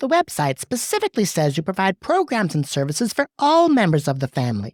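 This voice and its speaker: A female-sounding voice speaks in a put-on character voice at medium pitch. The pace is very fast. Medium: audio drama. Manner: sharp, commanding.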